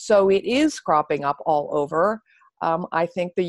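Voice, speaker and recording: An unremarkable speaking voice with an American accent, ordinary pitch variation and a moderate pace, in a dry, close sound with no echo. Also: woman. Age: 60s. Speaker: author and anti-ageism activist. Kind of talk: interview. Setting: podcast interview.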